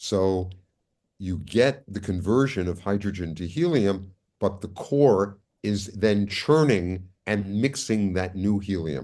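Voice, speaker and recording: A man's fairly low, dark and mellow voice at a very slow pace, with ordinary pitch variation and a quiet background. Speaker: astrophysicist lecturer. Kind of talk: lecture. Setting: video call. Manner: deliberately slow.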